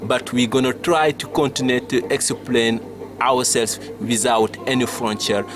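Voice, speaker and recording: A man talks fairly slowly at a medium pitch. His intonation stays fairly even over noticeable background noise. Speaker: TV show host. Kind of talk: interview. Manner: halting.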